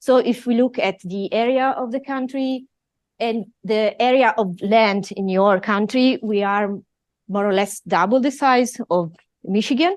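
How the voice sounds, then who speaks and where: Someone with an Italian accent speaks at a fairly slow pace with ordinary pitch variation. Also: woman, fairly high pitch for a woman. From Italy. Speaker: professor. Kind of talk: lecture.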